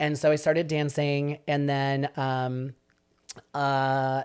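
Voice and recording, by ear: This man's voice sits fairly high in pitch and has a clear, smooth tone that is slightly mellow.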